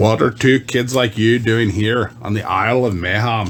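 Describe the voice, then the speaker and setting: Putting on a character voice, a man at medium pitch speaks at a moderate pace over clear background noise. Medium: read story. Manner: blunt, matter-of-fact.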